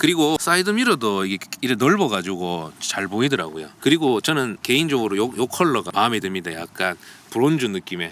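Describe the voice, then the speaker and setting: A man at medium pitch with very wide pitch swings, speaking at a fairly quick pace amid noticeable background noise. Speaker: car reviewer. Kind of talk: car review walkaround. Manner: casual, conversational.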